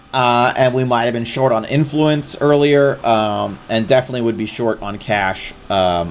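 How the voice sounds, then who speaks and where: Amid noticeable background noise, a man at a medium pitch speaks at a moderate pace with ordinary pitch variation and hardly any pauses. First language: not English. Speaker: streamer. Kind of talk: live gameplay commentary. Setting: live stream.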